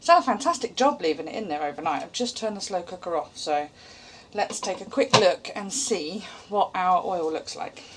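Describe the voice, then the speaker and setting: This woman speaks with a British accent. Her pitch swings very widely. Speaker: homesteading vlogger. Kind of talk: tutorial. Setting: home kitchen. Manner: casual and chatty.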